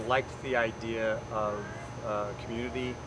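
A man's voice sounds dry with no echo against loud background noise. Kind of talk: interview answer. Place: open country.

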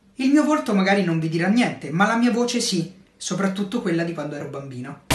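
A man talks very fast in a high voice, his pitch swinging very widely, with audible room echo around him. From Italy. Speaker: voice actor. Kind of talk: casual talk to camera. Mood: calm, reflective. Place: home room. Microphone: phone near.

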